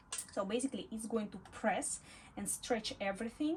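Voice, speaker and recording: A woman with a non-native accent talks at a fairly quick pace. Her pitch is fairly high, with ordinary pitch variation. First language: not English. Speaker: sewing instructor. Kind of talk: tutorial. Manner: halting, with fillers.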